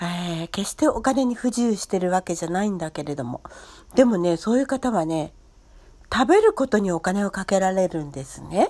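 A woman speaks at a moderate pace in a dark, mellow tone. Her intonation is lively, and her loudness swings widely. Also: medium pitch for a woman. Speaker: podcaster. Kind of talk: casual monologue.

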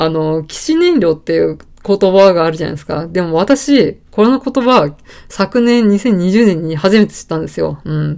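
A woman's medium-pitched, dark, mellow voice at a moderate pace, with lively intonation and big swings in loudness. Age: 30s. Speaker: podcaster, office worker. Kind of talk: casual solo talk. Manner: relaxed, many fillers.

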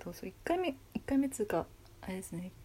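A soft-spoken woman talks at a moderate pace. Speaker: solo podcaster. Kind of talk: casual monologue. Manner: quiet, low energy at night.

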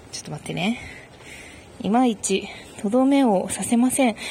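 The pace runs fairly quick. Pitch varies in an ordinary way, in an unremarkable speaking voice. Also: woman. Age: 20s. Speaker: podcast host. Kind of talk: casual monologue answering listener mail. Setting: outdoors, walking to a station in light rain.

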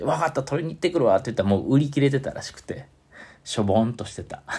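A man speaks with a Kansai accent. His voice carries vocal fry. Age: 40s. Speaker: saxophone player. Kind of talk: casual monologue.

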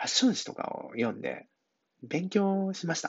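With a relaxed tone and lively intonation, a man speaks at a moderate pace. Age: 40s. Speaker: hairdresser. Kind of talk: casual monologue. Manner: relaxed, filler-heavy.

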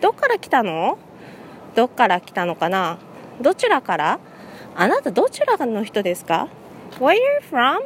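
At a moderate pace, a woman speaks with very wide pitch swings, big swings in loudness and long, frequent pauses, the sound dry and close with no echo and noticeable background noise. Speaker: English conversation teacher. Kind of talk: casual solo talk. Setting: outdoors walking in a city.

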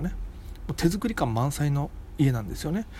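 With a slight Okinawan accent, a man speaks at a fairly quick pace and a fairly high pitch. His pitch swings very widely. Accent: slight Okinawan intonation. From Okinawa, Japan. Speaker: comedian. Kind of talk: solo casual monologue.

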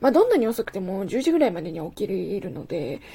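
Speaking at a very fast pace, a woman has a somewhat breathy voice with a dark, mellow tone. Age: 20s. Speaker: podcast host. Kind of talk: solo monologue. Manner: casual, chatty.

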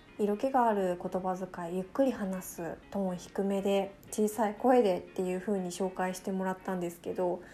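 A woman with a dark, mellow tone speaks with hardly any pauses and fairly even intonation. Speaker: podcast host. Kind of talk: casual monologue. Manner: fast talker.

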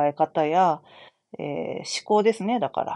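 A woman speaks with a dark, mellow tone and ordinary pitch variation. The sound is dry and close with no echo, and the background is quiet. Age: 40s. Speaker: astrologer and fortune teller. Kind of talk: solo talk show monologue. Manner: casual with many filler words.

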